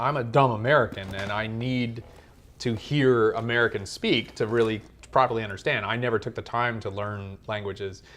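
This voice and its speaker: The man talks at a moderate pace with a medium pitch. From United States. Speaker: movie review podcaster. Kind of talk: casual chat. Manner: animated.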